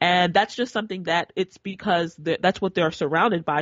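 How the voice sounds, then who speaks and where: A woman with a fairly low pitch and ordinary pitch variation speaks at a moderate pace. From Nigeria (Igbo), partly raised in US. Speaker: entrepreneur promoting African literacy. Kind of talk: interview conversation. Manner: halting, many false starts and repetitions.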